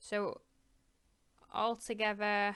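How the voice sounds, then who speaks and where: A woman in a Northern English accent, bright and sharp in tone, on a very clean recording with a silent background. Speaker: crochet tutor. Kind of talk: craft tutorial talk to camera. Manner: casual, rambling.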